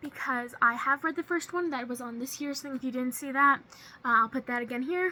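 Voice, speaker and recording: A woman talks at a fairly quick pace in a raised, projected voice, high-pitched with a bright, sharp tone and ordinary pitch variation. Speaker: booktuber. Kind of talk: casual vlog. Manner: fast.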